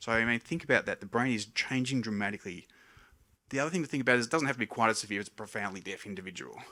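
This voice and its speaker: The speaker mumbles at a very fast pace in a bright, sharp tone with ordinary pitch variation. The recording is very clean with a silent background. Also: man, medium pitch for a man. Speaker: hearing scientist. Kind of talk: public lecture. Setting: stage with audience. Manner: tends to mumble a little.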